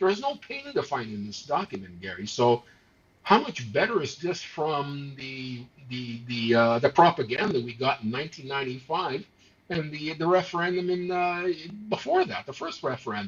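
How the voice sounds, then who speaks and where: Big swings in loudness, lively intonation, a somewhat breathy quality, and a moderate pace. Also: man, fairly high pitch for a man. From Montreal, Quebec. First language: not English, not French. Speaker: political talk show co-host. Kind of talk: casual political discussion. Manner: animated, many hesitations and repeated words.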